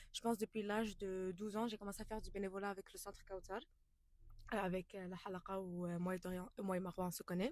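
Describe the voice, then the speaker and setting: A woman's medium-pitched voice at a very fast pace. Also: fairly even intonation. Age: young. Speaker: podcast co-host, student volunteer. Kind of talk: casual podcast chat.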